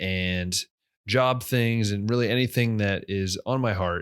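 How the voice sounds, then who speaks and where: On a very clean recording with a silent background, a man speaks at a fairly slow pace. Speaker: podcast host. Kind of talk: casual podcast talk.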